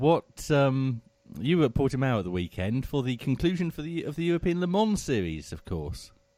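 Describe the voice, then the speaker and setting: A man with a dark, mellow tone speaks at a medium pitch with very wide pitch swings. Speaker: executive producer and news presenter. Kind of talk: live radio magazine show chat.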